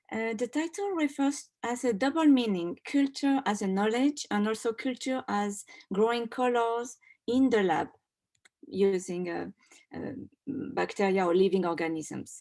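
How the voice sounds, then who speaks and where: A woman's fairly high voice with a French accent and lively intonation at a fairly slow pace, on a very clean recording with a silent background. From France. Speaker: doctoral student and textile designer. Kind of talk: award presentation talk.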